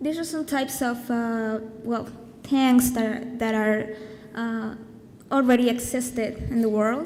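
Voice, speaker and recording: Over noticeable background noise and audible room echo, a woman with a high pitch talks at a fairly slow pace with fairly even intonation. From Colombia. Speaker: design student presenting a project. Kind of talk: conference presentation. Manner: hesitant, many fillers.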